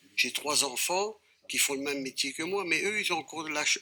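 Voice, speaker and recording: There is noticeable background noise behind a man's fairly high voice. His pitch varies in an ordinary way. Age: 60s. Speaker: fairground operator, federation president. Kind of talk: TV debate. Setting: TV studio.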